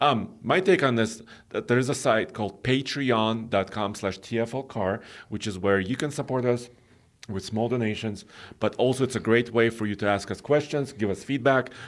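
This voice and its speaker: A man with a non-native accent speaks with ordinary pitch variation. The recording is very clean, and the background is silent. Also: medium pitch for a man, moderate pace. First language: not English. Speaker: automotive podcast co-host. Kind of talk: casual chat.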